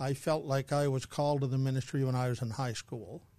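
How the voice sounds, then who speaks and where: A man talks fairly quickly with a Canadian accent. His voice is somewhat breathy, medium in pitch, with fairly even intonation. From New Brunswick, Canada (Saint John). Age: 70s. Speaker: retired church leader. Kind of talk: interview conversation. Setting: studio.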